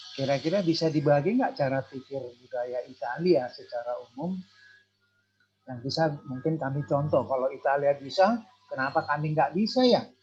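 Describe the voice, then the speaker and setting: There is music in the background as a man talks at a moderate pace. His pitch is fairly high, with lively intonation. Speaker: audience member asking questions. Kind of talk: online talk show.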